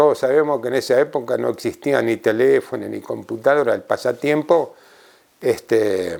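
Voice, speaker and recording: A man speaks with an Argentine accent. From Argentina, La Pampa. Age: 70s. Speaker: former tightrope walker. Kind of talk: interview reminiscence. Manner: halting, with filler sounds.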